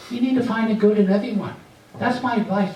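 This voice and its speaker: Amid noticeable background noise and audible room echo, a man speaks animatedly at a fairly quick pace, his pitch high with ordinary variation. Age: 60s. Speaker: stand-up comedian. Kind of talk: stand-up. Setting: stage with audience.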